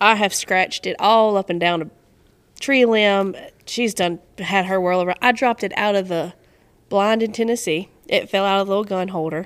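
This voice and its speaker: With a North Carolina accent, a woman talks at a moderate pace and a medium pitch. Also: fairly even intonation. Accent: Southern US (North Carolina). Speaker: duck hunter and photographer. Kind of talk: casual chat.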